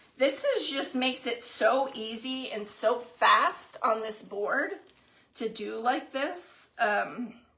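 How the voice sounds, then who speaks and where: Against noticeable background noise, a woman speaks very slowly at a high pitch. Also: ordinary pitch variation. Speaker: craft livestream host. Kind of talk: live craft tutorial. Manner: casual chatty.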